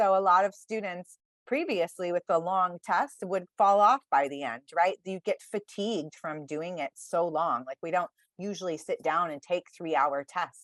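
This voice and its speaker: Recorded dry and close with no echo, a woman talks in an ordinary speaking voice, fairly low in pitch, with ordinary pitch variation. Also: moderate pace. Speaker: test prep advisor. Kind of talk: virtual workshop presentation.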